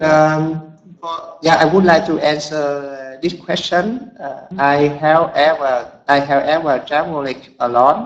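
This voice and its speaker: A man speaks very slowly in a fairly high voice, with ordinary pitch variation. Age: 30s. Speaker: language student. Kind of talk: class participation. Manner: halting.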